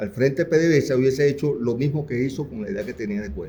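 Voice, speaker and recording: A man with a dark, mellow, somewhat breathy tone speaks fairly quickly at a fairly high pitch with lively intonation. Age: 60s. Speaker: audience member, former union activist. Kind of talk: audience comment in seminar Q&A.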